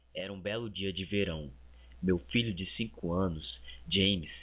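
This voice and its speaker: Fairly low male voice at a fairly slow pace, ordinary pitch variation, music in the background. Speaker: creepypasta narrator. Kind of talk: horror story narration.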